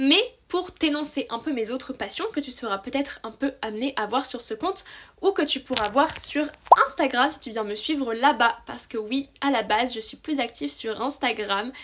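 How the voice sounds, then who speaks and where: Over noticeable background noise, a woman talks at a moderate pace in a high pitch, her tone enthusiastic and her intonation lively. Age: 20s. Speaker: book youtuber. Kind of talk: casual vlog monologue. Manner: chatty, enthusiastic.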